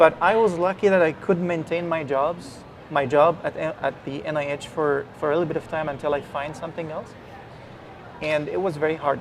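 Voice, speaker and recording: A man talks in an Arabic accent at a fairly high pitch, with fairly even intonation. There is noticeable background noise. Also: moderate pace. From Egypt. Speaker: virologist. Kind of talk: interview. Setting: live event broadcast.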